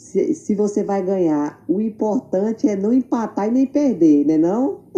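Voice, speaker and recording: With very wide pitch swings, a woman speaks at a fairly high pitch and fairly slow pace, her tone dark, mellow and somewhat breathy. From Tocantins, Brazil. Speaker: makeup artist. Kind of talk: interview.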